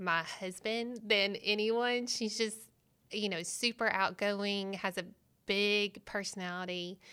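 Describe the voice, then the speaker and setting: A woman with a Southern US accent, medium in pitch and bright, sharp in tone, at a very slow pace, on a very clean recording with a silent background. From Arkansas. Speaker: pastor's wife and graphic designer. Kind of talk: casual chat.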